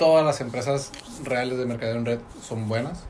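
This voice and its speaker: Noticeable background noise sits behind this man's voice. He talks at a fairly quick pace with fairly even intonation and a medium pitch. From Mexico, Tecate (Baja California). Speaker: network marketing entrepreneur, engineer. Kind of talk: casual interview chat. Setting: studio.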